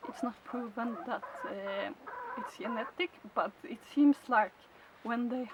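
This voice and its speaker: A woman speaks very slowly at a fairly high pitch. Noticeable background noise runs underneath. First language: Swedish. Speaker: chicken keeper. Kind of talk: tutorial. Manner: halting.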